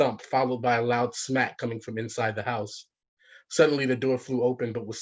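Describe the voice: Plain reading aloud comes through with only a quiet background behind it.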